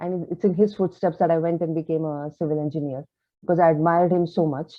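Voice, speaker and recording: With a Kannada accent, a woman talks very fast at a fairly low pitch with fairly even intonation. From India, grew up in Delhi and Calcutta. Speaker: author. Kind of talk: interview. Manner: hesitant, many fillers.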